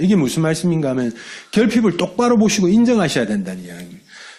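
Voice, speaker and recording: A man speaking in a Busan accent has a high pitch that swings very widely. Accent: Gyeongsang dialect (Busan area). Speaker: network marketing business leader. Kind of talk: motivational business talk. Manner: colloquial, dialect-heavy.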